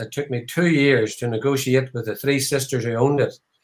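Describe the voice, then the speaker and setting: A man with an Irish accent speaks at a fairly quick pace. His medium-pitched voice stays flat and monotone. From Ireland. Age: 70s. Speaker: whiskey distillery founder. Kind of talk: live online tasting chat. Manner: halting, many fillers.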